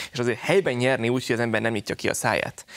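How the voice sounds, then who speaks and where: The voice belongs to a man. It stays at a medium pitch. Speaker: journalist. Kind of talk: panel discussion. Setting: studio. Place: studio. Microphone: lapel.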